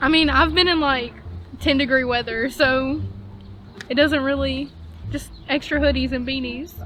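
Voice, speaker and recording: Speaking at a moderate pace with long, frequent pauses, a woman with an American accent keeps her high-pitched voice fairly even in intonation amid noticeable background noise. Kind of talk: street interview answer.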